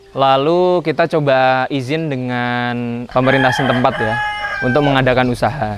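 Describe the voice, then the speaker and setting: Against noticeable background noise, a man talks at a moderate pace with a medium pitch and fairly even intonation. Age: 20s. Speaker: young farmer and entrepreneur. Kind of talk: interview.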